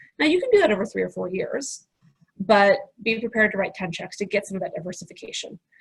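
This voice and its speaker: The speech is very fast and somewhat breathy. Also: woman. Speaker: angel investor and professor. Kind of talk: webinar presentation with Q&A.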